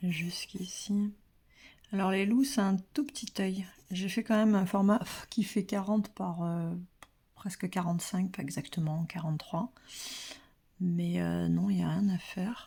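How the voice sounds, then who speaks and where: A soft-spoken, somewhat breathy woman with a dark, mellow tone and medium pitch, at a fairly slow pace with ordinary pitch variation and long, frequent pauses. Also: very clean recording, silent background. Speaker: pastel drawing teacher. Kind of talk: tutorial. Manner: hesitant, many fillers.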